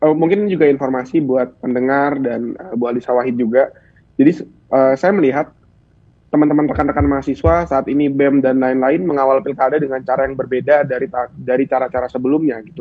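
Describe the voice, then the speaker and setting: In a plain, everyday voice, a man speaks at a medium pitch. His pace is fairly quick and his pitch variation is ordinary. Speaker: student union president. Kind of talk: talk show interview.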